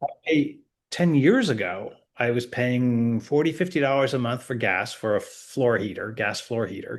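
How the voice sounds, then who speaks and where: A man talks with an American accent at a moderate pace. His pitch varies in an ordinary way over a quiet background. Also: medium pitch for a man. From Connecticut, US Northeast. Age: 60s. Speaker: retired expat. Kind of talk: interview. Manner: halting, many false starts.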